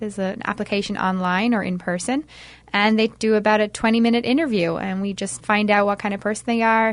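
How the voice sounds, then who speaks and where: At a fairly quick pace, a woman with a Dublin accent speaks in a fairly high pitch. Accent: Irish (Dublin). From Ireland, Dublin. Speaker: touring performing group staff member. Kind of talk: radio interview. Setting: radio studio.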